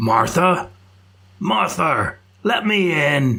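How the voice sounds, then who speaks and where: A man puts on a raspy character voice at a fairly high pitch. The pitch swings very widely. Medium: read story. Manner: gruff, grumbling.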